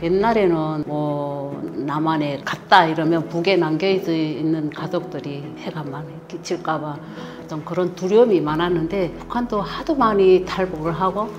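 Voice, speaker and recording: With a very deep, low pitch and ordinary pitch variation, a woman speaks amid audible room echo and noticeable background noise. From North Korea. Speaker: North Korean defector, mother-in-law. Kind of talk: interview.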